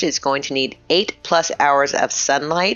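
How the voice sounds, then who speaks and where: Someone with an American accent speaks as music plays in the background. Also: woman. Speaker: gardening YouTuber. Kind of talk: tutorial. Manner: fast; casual, chatty.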